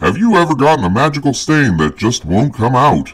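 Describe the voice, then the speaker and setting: A man sounds enthusiastic, his pitch swinging very widely. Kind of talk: 1940s radio announcer. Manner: booming, enthusiastic.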